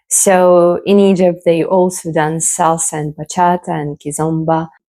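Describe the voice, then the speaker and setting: A woman with a non-native accent speaks at a fairly slow pace and fairly low pitch, with fairly even intonation. Her tone is dark and mellow on a very clean recording with a silent background. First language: not English. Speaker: belly dancer. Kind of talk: casual talk to camera.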